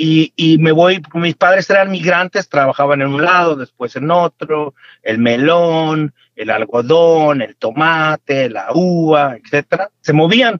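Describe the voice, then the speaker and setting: A man's very slow, fairly high-pitched delivery with ordinary pitch variation. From Mexico, Michoacán. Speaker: farmer and entrepreneur. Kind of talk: interview. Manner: halting, repeats words.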